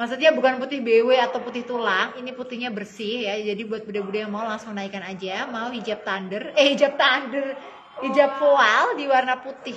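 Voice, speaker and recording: A woman with a high pitch talks at a fairly quick pace with hardly any pauses and ordinary pitch variation, over light background noise. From Indonesia. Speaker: online clothing seller. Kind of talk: live-stream sales pitch rattling off product codes, sizes and prices to viewers. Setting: live stream. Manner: chummy and gushing, constantly calling viewers dear and mom. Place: shop. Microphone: phone near.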